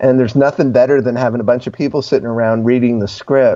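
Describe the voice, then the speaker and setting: A man's medium-pitched voice with an American accent and a dark, mellow tone. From New Jersey. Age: 60s. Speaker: screenwriter and filmmaker. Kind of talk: casual interview.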